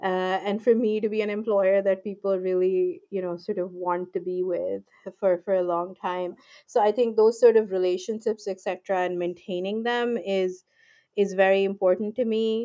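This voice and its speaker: A woman speaks at a medium pitch and a moderate pace. Her tone is dark and mellow, her intonation monotone and flat. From Pakistan, Lahore. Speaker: IP lawyer. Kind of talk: interview.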